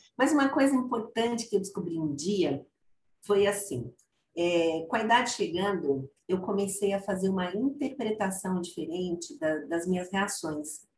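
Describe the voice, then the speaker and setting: Somewhat breathy, the woman speaks at a fairly slow pace and a medium pitch, her voice ranging through very wide pitch swings. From Brazil, Guarulhos (São Paulo). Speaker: psychologist and consultant. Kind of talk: casual chat.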